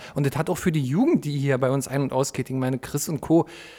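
Ordinary pitch variation in a man's fairly high voice, moderately paced. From East Berlin (Lichtenberg). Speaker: podcast host. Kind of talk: casual chat.

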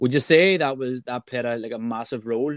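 Recorded very cleanly over a silent background, a man speaks at medium pitch in a plain, everyday voice with ordinary pitch variation. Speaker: podcast co-host. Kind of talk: interview.

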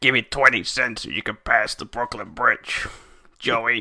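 A man speaks at a fairly slow pace in a put-on character voice. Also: medium pitch for a man. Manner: mocking, gruff.

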